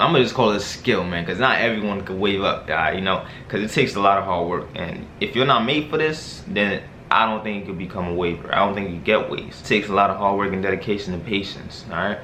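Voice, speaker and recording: A man's fairly low voice at a fairly quick pace, with ordinary pitch variation, noticeable background noise and audible room echo. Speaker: YouTuber giving hair care tips. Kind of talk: casual vlog tutorial. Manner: casual, filler-heavy.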